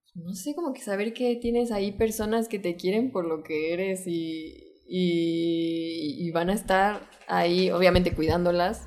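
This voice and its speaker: Using an ordinary speaking voice, a woman talks at a fairly slow pace and medium pitch with ordinary pitch variation. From Mexico City. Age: 20s. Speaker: filmmaker and photographer. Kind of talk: casual interview.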